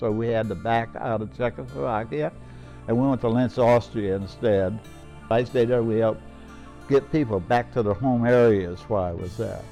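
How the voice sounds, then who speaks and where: Against music in the background, a man with an American accent speaks at a moderate pace and medium pitch with lively intonation. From Ohio, USA. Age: 80s+. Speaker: World War II veteran. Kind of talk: interview answer.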